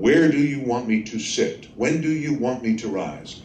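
Audible room echo and light background noise surround the recording. A man speaks at a moderate pace. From Texas. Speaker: trial lawyer. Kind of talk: lecture. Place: hall. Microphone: podium.

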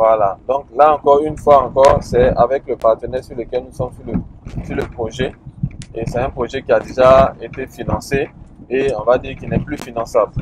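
Amid noticeable background noise, a man speaks at a moderate pace with monotone, flat intonation, and the sound is dry with no echo. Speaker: land plot tour guide. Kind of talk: casual commentary. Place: car. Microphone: phone near.

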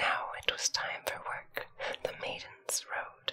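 A woman whispering. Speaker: storyteller. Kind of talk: story reading aloud. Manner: soft, hushed ASMR reading voice.

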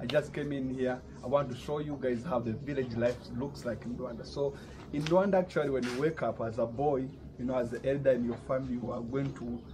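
A man talks fairly quickly with fairly even intonation while noticeable background noise runs behind him. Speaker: vlogger. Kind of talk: casual vlog chat.

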